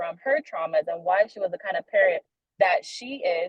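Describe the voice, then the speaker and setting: With a Haitian accent, a woman speaks at a fairly high pitch, making very wide pitch swings. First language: Haitian Creole. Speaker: young adult ministry leader. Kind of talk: sermon-style discussion. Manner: casual, conversational with many fillers.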